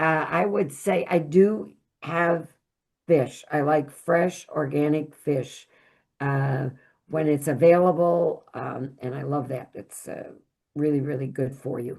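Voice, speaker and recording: A woman speaks at a very slow pace with a very deep, low pitch. Her pitch variation is ordinary. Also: big swings in loudness. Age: 80s+. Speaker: nutrition educator, former school psychologist. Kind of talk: talk.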